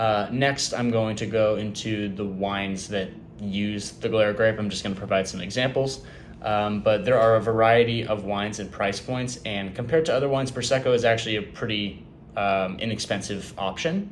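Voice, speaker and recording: With fairly even intonation and a fairly low pitch, a man talks at a moderate pace amid audible room echo. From California. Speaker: student. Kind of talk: class presentation. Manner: halting, many fillers.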